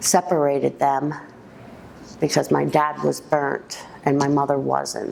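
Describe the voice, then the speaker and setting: A woman's voice over noticeable background noise. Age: 50s. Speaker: woman telling her life story. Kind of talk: personal life story interview. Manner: halting, with many ums.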